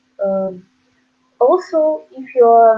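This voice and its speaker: A woman's fairly high voice with lively intonation at a very slow pace, over background music. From Ukraine. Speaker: student, website co-founder. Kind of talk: interview answer.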